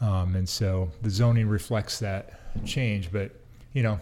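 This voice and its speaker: This man has a fairly low pitch and a dark, mellow tone with some breathiness. He speaks with an American accent and fairly even intonation. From US Pacific Northwest, Seattle area. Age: 50s. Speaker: city economic development director. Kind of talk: interview. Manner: halting, many fillers and restarts.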